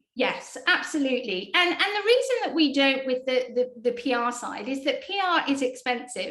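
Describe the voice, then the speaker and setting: A woman with a British accent at a moderate pace and high pitch, over noticeable background noise. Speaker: PR agency executive. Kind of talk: interview.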